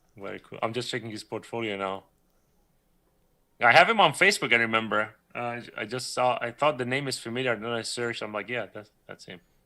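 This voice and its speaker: This voice, with a Persian accent, moves at a fairly quick pace with ordinary pitch variation. Its tone is bright and sharp, with big swings in loudness. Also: man, medium pitch for a man. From Iran. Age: 30s. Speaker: 3D creature artist. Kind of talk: casual interview chat on livestream. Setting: live stream video call.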